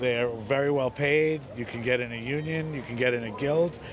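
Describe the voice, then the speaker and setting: A man talks at a moderate pace in a dry sound with no echo, with noticeable background noise behind him. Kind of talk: interview answer. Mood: upbeat, confident. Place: street. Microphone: handheld.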